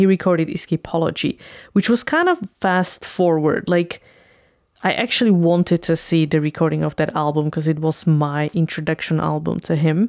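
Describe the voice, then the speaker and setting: In an ordinary speaking voice, the speaker moves at a moderate pace with fairly even intonation and very even loudness, on a very clean recording with a silent background. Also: woman, fairly low pitch for a woman. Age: 30s. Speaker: YouTube reviewer. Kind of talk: casual monologue review.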